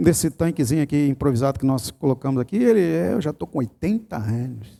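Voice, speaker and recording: Speaking very fast, a man has a dark, mellow tone. The recording is very clean, with a silent background. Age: 50s. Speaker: pastor. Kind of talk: sermon. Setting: church.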